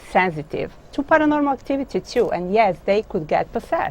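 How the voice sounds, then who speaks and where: A woman with a Croatian accent speaks with lively intonation. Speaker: author and dog business owner. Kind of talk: interview. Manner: halting.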